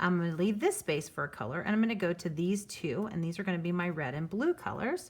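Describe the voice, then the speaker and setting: The voice is somewhat breathy, with ordinary pitch variation. It runs at a very fast pace with hardly any pauses. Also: woman, fairly low pitch for a woman. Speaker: art teacher. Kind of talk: tutorial.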